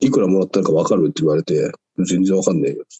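A man with a fairly low pitch talks at a fairly quick pace, his intonation lively. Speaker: weightlifter. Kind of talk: casual chat.

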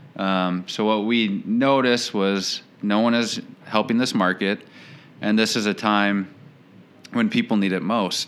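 In an Upper Midwest accent, a man speaks at a fairly low pitch with fairly even intonation and very even loudness. His pace is fairly slow, broken by long, frequent pauses. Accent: Upper Midwest American. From St. Paul, Minnesota. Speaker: financial planner, business owner. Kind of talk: casual interview chat.

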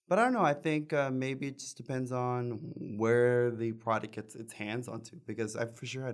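With an American accent, a man of medium pitch uses an ordinary speaking voice, a moderate pace and fairly even intonation. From Texas Rio Grande Valley (Palmview, near Mission). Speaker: singer and bandleader. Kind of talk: casual chat.

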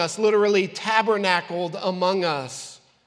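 The delivery is very slow, with audible room echo. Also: man. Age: 40s. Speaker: pastor. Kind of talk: sermon. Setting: church. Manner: animated.

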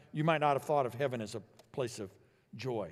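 This man speaks with an American accent. His pitch is medium. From Illinois, US Midwest. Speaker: pastor. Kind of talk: sermon. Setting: church.

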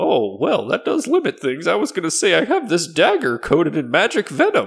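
Using a put-on character voice, a man talks high-pitched at a fairly quick pace. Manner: haggling, in character.

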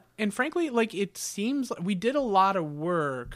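Lively in intonation and high in pitch, a man with a Midwestern American accent is heard on a very clean recording with a silent background. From Northern Ohio. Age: 30s. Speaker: tattoo artist and cartoonist. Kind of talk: casual interview. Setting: studio.

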